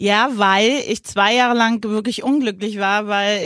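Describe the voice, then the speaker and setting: With a very clean recording and a silent background, a woman in a normal speaking voice speaks at a fairly high pitch with fairly even intonation. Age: 50s. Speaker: podcast co-host, mother of the host. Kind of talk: casual chat.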